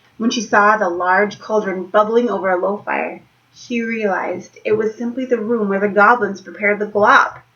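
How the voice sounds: A natural reading voice holds its intonation fairly even.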